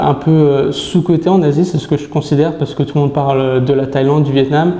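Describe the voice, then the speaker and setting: Noticeable background noise sits under this recording. A man with a fairly high voice talks at a fairly quick pace. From France, Brittany (Saint-Malo). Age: 20s. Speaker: sales manager. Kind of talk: interview. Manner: hesitant, many fillers.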